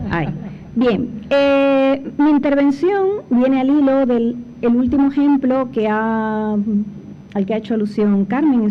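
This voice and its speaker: A woman at a fairly high pitch, with ordinary pitch variation and audible room echo. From Cuba. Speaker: panel speaker, former foundation director. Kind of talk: conference talk. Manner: hesitant fillers.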